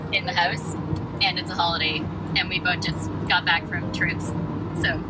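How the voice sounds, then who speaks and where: A woman speaks at a moderate pace. Loud background noise is present, and the sound is dry with no echo. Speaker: passenger vlogger. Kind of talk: casual vlog chat. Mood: cheerful, relaxed. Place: car. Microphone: phone near.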